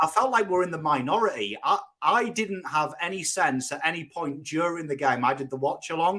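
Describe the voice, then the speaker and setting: A man with a bright, sharp tone and a fairly high pitch talks at a fairly quick pace with lively intonation. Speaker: football YouTuber. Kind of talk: casual chat.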